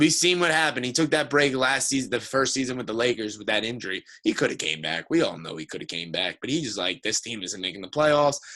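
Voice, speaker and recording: A man speaks very fast in a medium pitch, with very wide pitch swings. His tone is bright and sharp, with vocal fry. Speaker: sports podcast co-host. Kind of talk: heated sports debate. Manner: animated.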